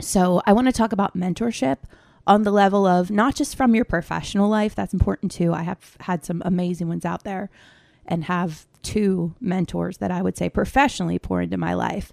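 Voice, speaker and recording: In an ordinary speaking voice, a woman talks fairly quickly at a medium pitch with ordinary pitch variation. The very clean recording has a silent background and a dry, close sound with no echo. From suburban Indiana, US Midwest. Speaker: podcast co-host. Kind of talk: casual chat.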